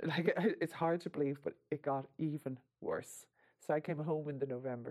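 Here a woman speaks in a very deep, low pitch with a dark, mellow tone. Her pace is moderate and her intonation fairly even. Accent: Irish. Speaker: survivor of financial abuse. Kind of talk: testimony.

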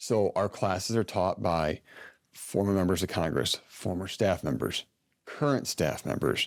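At a fairly slow pace, a man speaks with vocal fry at a very deep, low pitch. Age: 30s. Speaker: army officer, congressional fellow. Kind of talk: interview.

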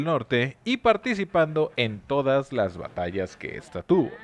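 Pitch swings very widely as a man talks at a fairly slow pace. The sound is dry and close, with no echo. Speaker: podcast host telling history stories. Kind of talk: casual chat with storytelling. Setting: different recording set.

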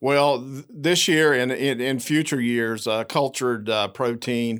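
The recording is very clean, with a silent background. A man with an Appalachian accent talks at a moderate pace and medium pitch, with ordinary pitch variation. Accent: Southern Appalachian American. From US South, southwest Virginia. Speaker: cattle producer and policy chair. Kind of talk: interview. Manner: halting with many fillers.

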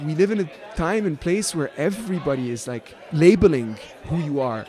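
The speaker has a Lebanese accent and lively intonation at a moderate pace. Noticeable background noise runs underneath. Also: man. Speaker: electronic musician. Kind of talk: casual interview chat. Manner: animated, casual.

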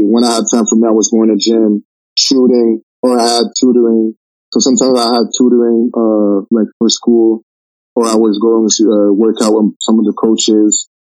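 A man with a French Canadian accent, dark, mellow tone, medium pitch, monotone, flat intonation, very even loudness, moderate pace and a dry, close sound with no echo. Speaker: college basketball player. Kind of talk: casual interview. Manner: relaxed.

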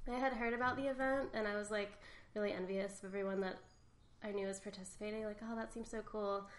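A woman's very fast speech with fairly even intonation and audible room echo. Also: medium pitch for a woman. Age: 30s. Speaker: painter. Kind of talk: interview.

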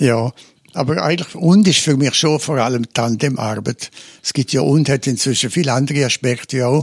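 A man with a Swiss accent, medium pitch and ordinary pitch variation, at a moderate pace in a dry, close sound with no echo. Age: 80s+. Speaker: retired psychotherapist and former priest. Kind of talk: interview. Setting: his office, seated in armchairs.

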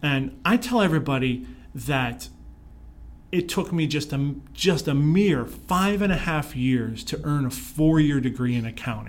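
Speaking at a fairly slow pace with an American accent, a man uses a fairly high, somewhat breathy voice with lively intonation. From Pittsburgh, Pennsylvania, US. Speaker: leadership consultant and speaker. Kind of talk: interview.

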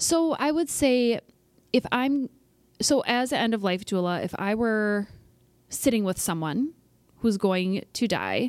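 Speaking with an American accent in a plain, everyday voice, a woman talks at a fairly slow pace with lively intonation, the sound dry and close with no echo, on a very clean recording with a silent background. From US Midwest, small-town Iowa. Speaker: lawyer. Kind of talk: interview conversation.

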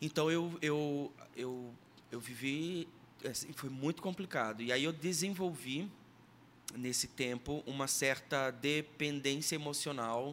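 With long, frequent pauses, a man speaks at a very slow pace in a fairly high pitch, his pitch variation ordinary. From Sergipe, Brazil. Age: 30s. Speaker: musician and former radio presenter. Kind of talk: podcast interview, personal testimony and teaching.

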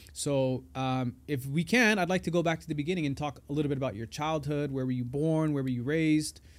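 Very clean recording, silent background, and a man with a normal speaking voice and fairly high pitch. He talks at a fairly quick pace with ordinary pitch variation and hardly any pauses. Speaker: podcast host and poet. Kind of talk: casual interview. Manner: playful, jokey.

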